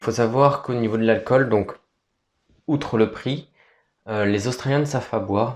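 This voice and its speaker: This is a man's voice. The pitch variation is ordinary. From France. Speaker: vlogger. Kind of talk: casual vlog talk. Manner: hesitant.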